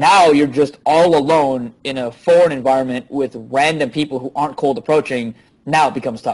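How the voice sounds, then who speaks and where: A man speaks at a fairly quick pace, his pitch fairly high. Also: ordinary pitch variation. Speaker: dating coach. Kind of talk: interview. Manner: loud.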